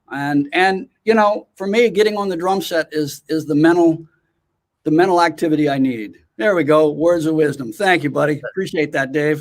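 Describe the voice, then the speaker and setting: Here is a man with a plain, everyday voice and an American accent. His pitch is fairly high, with ordinary variation, and his pace is moderate. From US West Coast, California (Oakland). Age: 60s. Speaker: drummer and educator. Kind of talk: interview.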